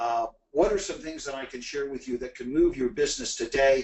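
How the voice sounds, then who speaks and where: This man talks at a fairly quick pace. His loudness swings a lot. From Canada. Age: 60s. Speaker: network marketing leader. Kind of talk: motivational talk on a call. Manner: hesitant, many fillers.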